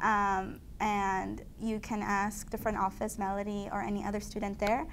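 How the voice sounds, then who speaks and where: A woman's medium-pitched voice over light background noise. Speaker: student organization leader; guest. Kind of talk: interview. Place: studio. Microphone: lapel.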